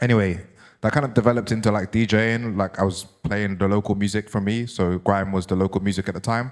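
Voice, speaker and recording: A fairly low-pitched man with a London accent at a very fast pace, his intonation fairly even, on a very clean recording with a silent background. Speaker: DJ and author giving a talk. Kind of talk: public talk.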